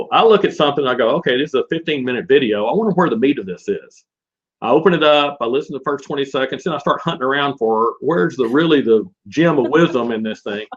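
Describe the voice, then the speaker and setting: Here a man speaks with an American accent. His pitch is fairly high and his pace very fast. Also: lively intonation. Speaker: e-learning company founder. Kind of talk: interview conversation. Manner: casual, with many fillers.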